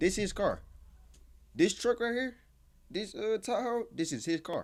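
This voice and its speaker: The man's pitch is high. His pitch variation is ordinary. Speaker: YouTube reaction channel host. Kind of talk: casual reaction commentary. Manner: fast; animated.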